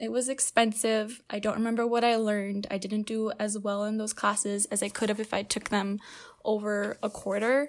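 With a very clean recording and a silent background, an unremarkable speaking voice proceeds at a moderate pace. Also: woman. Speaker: student assistant opinion editor.

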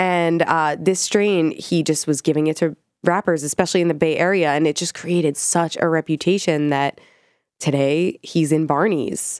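Using a normal speaking voice, a woman with a fairly low pitch talks at a moderate pace with fairly even intonation, in a dry, close sound with no echo. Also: very clean recording, silent background. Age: 30s. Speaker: cannabis journalist and podcast co-host. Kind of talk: casual chat.

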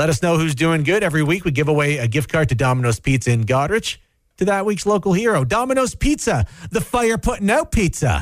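The speaker talks at a very fast pace, with very wide swings in pitch. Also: man, fairly high pitch for a man. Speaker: radio host. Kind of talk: casual chat. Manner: animated.

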